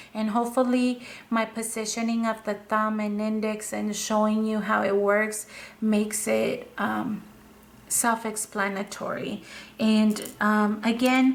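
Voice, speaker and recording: With a non-native accent, a woman speaks at a fairly slow pace. Her fairly high voice stays monotone and flat. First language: not English. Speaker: craft video creator. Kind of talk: tutorial. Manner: halting, with fillers.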